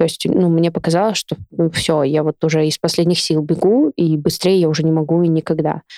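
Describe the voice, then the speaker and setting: A woman speaks at a fairly quick pace with hardly any pauses, her fairly low pitch, dark, mellow tone, very even loudness and fairly even intonation captured in a dry, close sound with no echo. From Siberia, Novosibirsk (Akademgorodok). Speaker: amateur runner. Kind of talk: casual chat.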